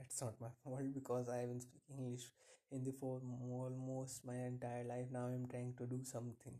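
A man with an Indian accent speaks at medium pitch and a moderate pace. His tone is dark and mellow, and his intonation is monotone and flat. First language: Hindi. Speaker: podcaster. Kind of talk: casual monologue. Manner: halting.

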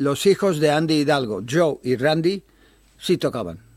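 This man's voice sits fairly high and swings very widely in pitch. He speaks at a fairly slow pace. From Bilbao, Spain; childhood in Japan, Taiwan and the Philippines. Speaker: jazz club founder and amateur trumpet player. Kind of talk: casual interview.

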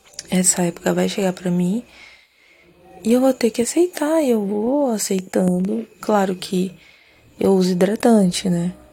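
Speaking in a calm, relaxed tone, a woman with a medium pitch and ordinary pitch variation talks at a fairly slow pace, leaving long, frequent pauses. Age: 30s. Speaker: podcast host. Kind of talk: sleep podcast monologue.

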